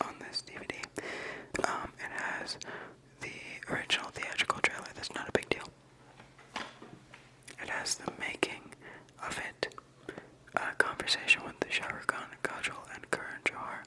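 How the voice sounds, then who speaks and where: A man whispers at a moderate pace in a relaxed tone, leaving long, frequent pauses. His loudness swings widely, and noticeable background noise can be heard. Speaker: ASMR video creator. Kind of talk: whispered ASMR ramble to camera. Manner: whispered, casual, relaxed.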